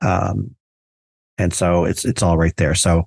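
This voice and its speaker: Recorded with a dry, close sound and no echo, a man speaks against a quiet background. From New Jersey. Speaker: podcast host. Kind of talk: casual interview.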